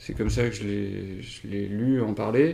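This man speaks at a fairly slow pace with a dark, mellow tone and ordinary pitch variation. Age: 40s. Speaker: engineer and climate workshop facilitator. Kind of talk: interview. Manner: halting, many hesitations.

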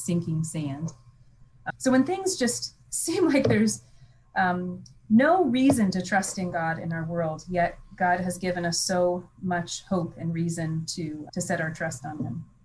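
Against noticeable background noise, a woman with a fairly low pitch speaks at a fairly slow pace with lively intonation. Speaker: Bible professor. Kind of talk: casual chat.

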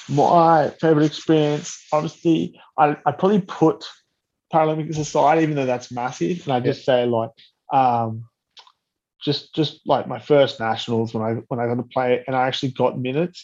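A man with an Australian accent, fairly high pitch, ordinary pitch variation and a moderate pace. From Australia, Blue Mountains. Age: 30s. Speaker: Paralympic wheelchair rugby player. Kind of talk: casual interview.

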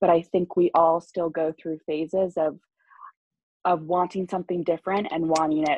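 This is a woman with a normal speaking voice, pitched fairly low. She talks at a moderate pace. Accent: American. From US Northeast, Long Island. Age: 20s. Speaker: salon client, film production worker. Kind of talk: casual interview.

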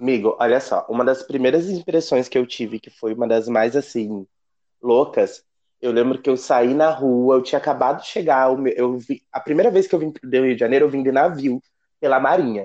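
Speaking fairly quickly, a man has a medium pitch, ordinary pitch variation and a dark, mellow tone. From southern Brazil, rural area near Ponta Grossa, Paraná. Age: 30s. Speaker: navy sergeant. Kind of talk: podcast interview.

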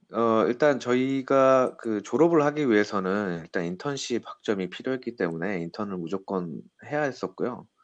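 A man with an unremarkable speaking voice, medium-pitched, at a moderate pace with hardly any pauses and lively intonation, over a quiet background. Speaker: business consultant. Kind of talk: interview.

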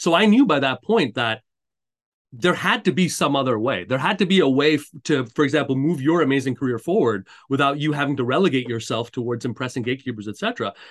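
Over a quiet background, a man with a Canadian accent talks at a very fast pace and a fairly high pitch. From Montreal, Canada. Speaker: career coach. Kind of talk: interview. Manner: hesitant with many fillers.

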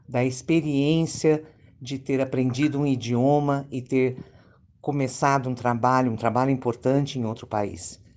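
Against a quiet background, the speech unfolds at a fairly slow pace. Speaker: language school coordinator. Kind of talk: event introduction. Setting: video call.

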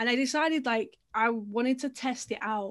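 The background is quiet. A woman talks with an English accent. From England. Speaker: storytelling marketer and funnel builder. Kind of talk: casual interview.

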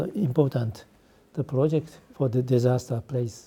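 Someone speaks at a fairly slow pace with a Japanese accent. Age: 70s. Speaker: architect. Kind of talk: interview. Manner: halting.

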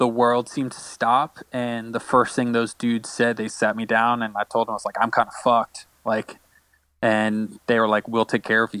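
A man with an American accent speaks at medium pitch and a moderate pace, his intonation monotone and flat. The tone is bright and sharp, the sound dry and close with no echo, in a very clean recording with a silent background. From Florida, Orlando. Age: 30s. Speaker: concert videographer and photographer. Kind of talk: casual interview chat.

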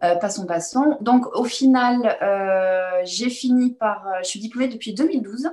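A woman speaks very slowly in a somewhat breathy voice, her pitch rising and falling in an ordinary way. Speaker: chiropractor. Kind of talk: interview.

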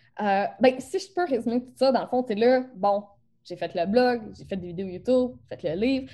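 A woman with a Beauce accent speaks at a moderate pace in a fairly high pitch, her intonation lively and her loudness swinging widely. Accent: Quebec French, rural Beauce-style. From Quebec. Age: 20s. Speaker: photography business coach. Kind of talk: interview. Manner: casual, teen-like slang.

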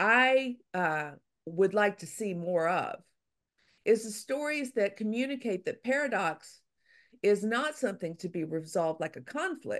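A woman speaks fairly high and fairly slowly, her pitch swinging very widely. The background is quiet. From Louisiana. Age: 60s. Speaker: author. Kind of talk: interview conversation.

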